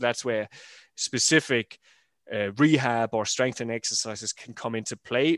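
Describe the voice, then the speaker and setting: A man with an ordinary speaking voice at medium pitch, fairly quick pace, dry, close sound with no echo, and a very clean recording with a silent background. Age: 40s. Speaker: running coach. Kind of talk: casual chat.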